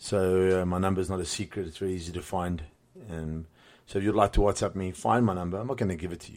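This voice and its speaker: The speaker has a South African accent and talks at a very fast pace in a flat monotone. The recording is very clean with a silent background. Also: man. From South Africa, Cape Town. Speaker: podcast host and boxing gym owner. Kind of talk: solo podcast monologue. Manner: hesitant, many fillers and repetitions.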